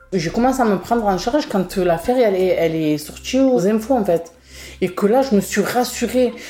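Noticeable background noise surrounds a woman at medium pitch. She talks at a moderate pace with lively intonation. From northern Marseille, France. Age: 30s. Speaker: beautician, victim. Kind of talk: testimony. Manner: halting.

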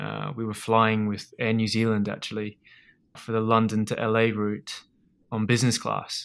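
A man with an Australian accent, flat and monotone at a moderate pace, on a very clean recording with a silent background. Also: medium pitch for a man. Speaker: food business founder. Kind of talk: interview. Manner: halting, many repetitions and fillers.

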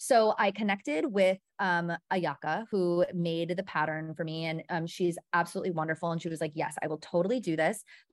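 A voice with an American accent talks at a fairly quick pace, hardly pausing at all, with ordinary pitch variation over a quiet background. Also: woman, fairly low pitch for a woman. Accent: slight Wisconsin accent in certain words. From Milwaukee, Wisconsin. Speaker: entrepreneur, brand founder. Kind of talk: casual interview chat. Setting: video call.

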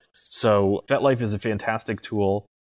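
In a plain, everyday voice, a man speaks at a fairly low pitch with fairly even intonation. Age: 30s. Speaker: BDSM coach. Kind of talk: podcast interview.

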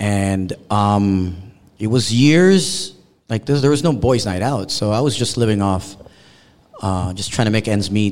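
A man with a Canadian accent and an unremarkable speaking voice, fairly low in pitch, ordinary in pitch variation, at a fairly slow pace. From Canada. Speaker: radio DJ. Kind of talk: panel discussion. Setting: stage with audience.

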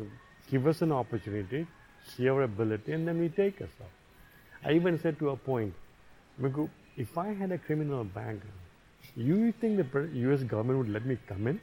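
A man at medium pitch talks at a fairly quick pace, somewhat breathy, with very wide pitch swings. Long, frequent pauses break up his speech. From Zambia. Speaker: podcast guest, father of a friend of the host. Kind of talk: casual interview conversation.

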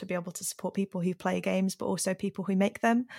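A woman talks at a very fast pace in a monotone, flat intonation, with a dry, close sound with no echo and a very clean recording, silent background. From Yorkshire, northern England. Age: 20s. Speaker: gaming charity community manager. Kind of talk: casual interview chat.

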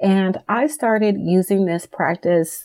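At a medium pitch, a woman talks in a normal speaking voice, her intonation fairly even. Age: 40s. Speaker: wellness podcast host. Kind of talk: motivational podcast monologue.

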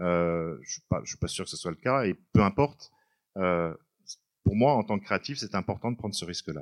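A man speaks with a fairly low pitch at a fairly slow pace. The sound is dry and close, with no echo. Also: lively intonation, very clean recording, silent background. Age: 50s. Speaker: writer. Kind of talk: book talk interview. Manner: halting.

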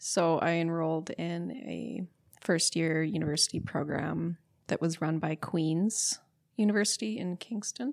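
In a very clean recording with a silent background, a woman with a western Canadian accent speaks in a calm tone, her fairly low pitch showing ordinary variation. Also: fairly slow pace. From Alberta, Canada (St. Albert, near Edmonton). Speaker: plant medicine explorer, leisure studies graduate. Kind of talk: casual interview conversation.

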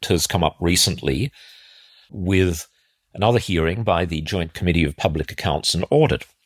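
Someone with an Australian accent talks at a moderate pace in a dry, close sound with no echo. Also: man. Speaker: defence analyst podcast host. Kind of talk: solo commentary podcast.

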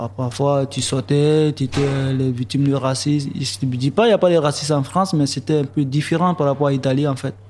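A man with a fairly high pitch talks at a fairly quick pace with hardly any pauses and ordinary pitch variation, against noticeable background noise. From Côte d'Ivoire. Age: young. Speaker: young migrant, electrician. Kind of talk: testimony.

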